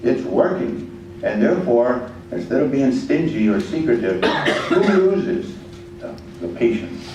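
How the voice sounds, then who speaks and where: Room echo is audible as a man talks at a fairly slow pace. His pitch is medium, and there is noticeable background noise. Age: 70s. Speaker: veterans organization leader. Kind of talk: public forum comment.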